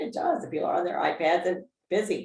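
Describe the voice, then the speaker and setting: A woman with a fairly low voice speaks at a very fast pace. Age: old. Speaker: talk show host. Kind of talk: interview host talk.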